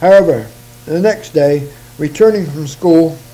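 A man speaks at a slow pace in a fairly high pitch, his tone dark and mellow.

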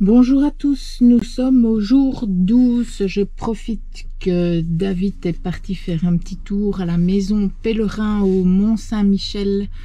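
Very slow speech in a dry sound with no echo. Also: woman, ordinary pitch variation. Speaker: travel vlogger. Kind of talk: casual vlog chat. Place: car. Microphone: camera far.

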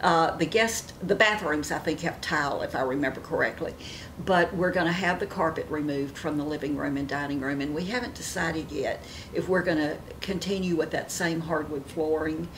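Against noticeable background noise, a woman with a fairly low pitch talks at a fairly quick pace with ordinary pitch variation. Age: 70s. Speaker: beauty vlogger; lifestyle vlogger. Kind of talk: casual chat. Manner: animated. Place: home room.

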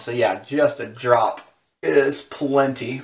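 A man is speaking. He has an American accent. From Southern California. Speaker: shaving video creator. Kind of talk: tutorial. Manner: casual. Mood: relaxed, calm. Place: bathroom. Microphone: camera far.

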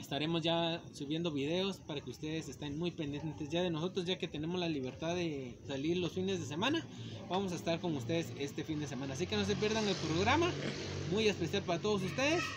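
Noticeable background noise sits under speech that moves at a fairly quick pace with ordinary pitch variation. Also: man. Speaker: channel host. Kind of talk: casual vlog chat. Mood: cheerful, joking. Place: street. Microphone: phone near.

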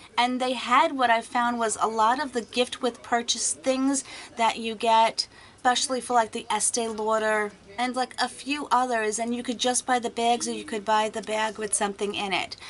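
The intonation stays monotone and flat against light background noise. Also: woman, moderate pace. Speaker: beauty vlogger. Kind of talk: casual vlog chat. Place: home room. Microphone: webcam.

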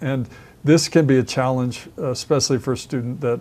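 The speaker is a man. He keeps a moderate pace. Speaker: construction trainer. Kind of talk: tutorial. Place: studio. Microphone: lapel.

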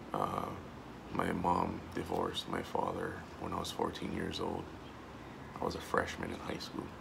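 A man speaks at a moderate pace with long, frequent pauses. Noticeable background noise runs beneath him. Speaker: vlogger and army veteran. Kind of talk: personal video monologue. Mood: earnest, emotional, reflective. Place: home room. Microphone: phone near.

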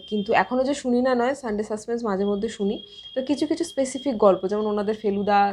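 A woman speaks at a fairly high pitch. It is a plain, everyday voice. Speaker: book YouTuber. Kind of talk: Q&A monologue to camera. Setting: at home.

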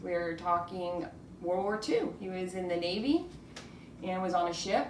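A woman speaks at a moderate pace. Light background noise and audible room echo surround her. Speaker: podcast host, interviewer. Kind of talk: casual interview questions.

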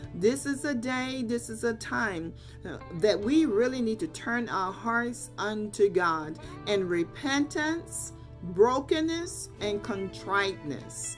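A woman talks at a very slow pace while faint music sounds in the background. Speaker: lay preacher. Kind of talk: sermon. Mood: earnest, exhorting. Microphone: webcam.

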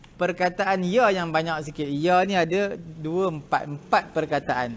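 Speaking fairly slowly, the man uses a high pitch. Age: 60s. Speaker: religious teacher. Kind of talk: lecture. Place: classroom.

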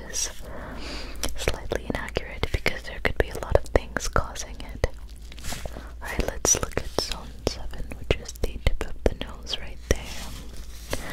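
A soft-spoken woman talks at a fairly slow pace, the sound dry with no echo. Loud background noise fills the recording. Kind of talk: soft-spoken roleplay explanation. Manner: soft, close ASMR murmur. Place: home room. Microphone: studio mic.

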